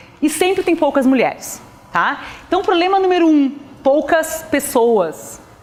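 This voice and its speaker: There is a woman speaking. Background noise is noticeable throughout. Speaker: physics professor. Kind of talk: lecture. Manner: fast.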